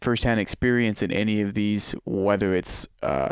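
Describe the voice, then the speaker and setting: A man with an ordinary speaking voice and fairly low pitch. He talks at a moderate pace with fairly even intonation. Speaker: podcast host. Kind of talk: casual chat. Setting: video call.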